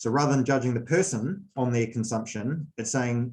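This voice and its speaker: A somewhat breathy voice in a New Zealand accent, at a fairly quick pace with fairly even intonation. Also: man. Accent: New Zealand accent, noticeable. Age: 40s. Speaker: sports coach. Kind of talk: presentation. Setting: video call.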